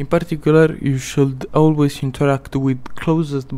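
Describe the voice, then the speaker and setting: Speaking in a non-native accent at a moderate pace, the voice has a dark, mellow tone and monotone, flat intonation. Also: man. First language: not English. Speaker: gaming video creator. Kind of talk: gameplay tips narration.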